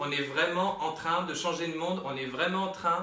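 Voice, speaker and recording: A man is speaking in a space with audible room echo. Noticeable background noise can be heard. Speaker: medium and tarot reader. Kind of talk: tarot reading. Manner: animated.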